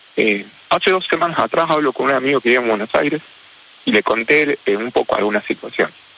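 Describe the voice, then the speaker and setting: Against noticeable background noise, a man talks at a very fast pace in a dry, close sound with no echo. His fairly high pitch has lively intonation, and his loudness stays very even. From Argentina, Rosario. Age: 40s. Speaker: orthopedic surgeon and popcorn vendor. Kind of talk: radio interview. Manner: halting, repeats words.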